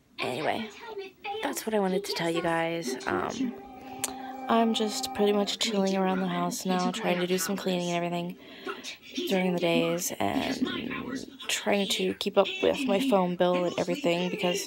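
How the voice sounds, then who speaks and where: With clear music behind her and a dry sound with no echo, a woman speaks at a moderate pace, leaving long, frequent pauses. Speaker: social media vlogger. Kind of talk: casual vlog chat. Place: home room. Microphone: phone near.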